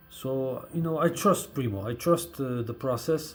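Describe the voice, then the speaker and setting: The speaker has a non-native accent and a fairly slow pace. Pitch variation is ordinary. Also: man. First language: not English. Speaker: hip hop fan and blogger. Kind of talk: casual vlog monologue. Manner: halting, many fillers.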